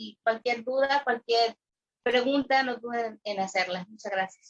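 High-pitched and fairly slow, a woman speaks with a dry, close sound and no echo. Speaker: podcast co-host. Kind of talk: casual chat.

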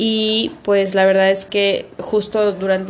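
Behind a medium-pitched woman's voice, there is noticeable background noise. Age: 30s. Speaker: podcast co-host. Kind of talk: casual chat.

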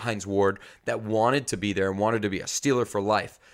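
A man with an American accent has an unremarkable speaking voice, medium in pitch, at a moderate pace. The recording is very clean, with a silent background. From New York. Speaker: podcast co-host, football fan. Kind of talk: casual chat. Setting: video podcast recording.

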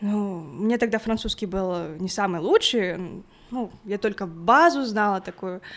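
A woman at medium pitch, very slow in pace, with lively intonation. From Kazakhstan, Aktau. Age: 20s. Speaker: engineering student. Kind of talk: casual interview.

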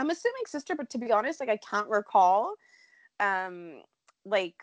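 A woman's unremarkable speaking voice with lively intonation and a moderate pace, dry and close with no echo, against a quiet background. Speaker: soap opera podcast host. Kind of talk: casual chat.

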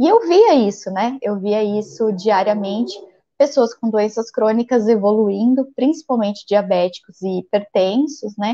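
A woman with a dark, mellow tone, fairly high pitch and a fairly slow pace. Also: ordinary pitch variation. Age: 40s. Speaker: physician. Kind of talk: interview.

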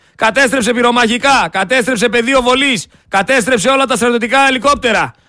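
A raised, projected voice with a bright, sharp tone at a moderate pace. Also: man. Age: young. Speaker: radio host. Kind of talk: radio commentary. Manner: loud; animated.

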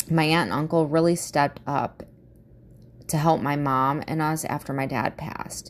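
A woman with an American accent speaks at a moderate pace. Her pitch is very deep and low, and her intonation stays fairly even. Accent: Midwestern American with valley girl traits. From US Midwest. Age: 30s. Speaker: podcast host. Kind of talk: casual monologue, personal introduction. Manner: laughs often, candid, swears.

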